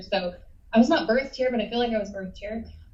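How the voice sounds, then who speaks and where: A somewhat breathy woman's voice. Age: 40s. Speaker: hospital staff member giving public comment. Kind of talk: public comment at a board meeting.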